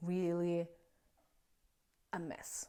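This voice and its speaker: A woman's dark, mellow voice at a very slow pace, with a non-native accent. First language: not English. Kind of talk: casual faith talk to camera. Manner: hesitant, with filler sounds.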